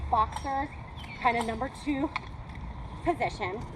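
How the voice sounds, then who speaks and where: Her voice high in pitch, a woman speaks amid audible room echo and noticeable background noise. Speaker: combat martial arts instructor. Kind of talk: class instruction. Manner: fast.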